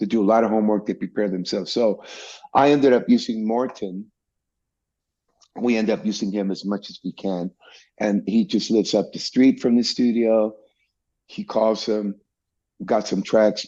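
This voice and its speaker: A man in a Spanish accent, fairly low in pitch with a dark, mellow tone, at a moderate pace with long, frequent pauses, over a quiet background. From Mexico, Tijuana. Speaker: bassist. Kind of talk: interview. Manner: animated.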